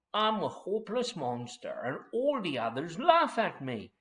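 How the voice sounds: What you hear is a natural reading voice.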